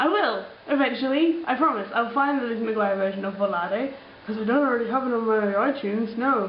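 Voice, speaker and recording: A woman with an Australian accent talks at a fairly quick pace in a fairly high pitch with lively intonation, amid noticeable background noise and audible room echo. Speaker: vlogger. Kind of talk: casual vlog, answering comments. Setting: alone in apartment. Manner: chatty, many fillers.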